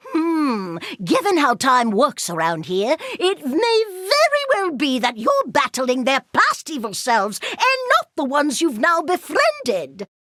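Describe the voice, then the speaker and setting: In a cartoonish character voice, a woman speaks high-pitched and fairly slow, with hardly any pauses. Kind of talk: video game voice lines. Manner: prim, fussy, curious.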